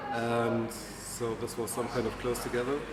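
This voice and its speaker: The speaker has a German accent and keeps a moderate pace. Noticeable background noise and audible room echo surround the voice. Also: man. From Germany. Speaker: long-distance hiker. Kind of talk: casual interview. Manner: hesitant with fillers.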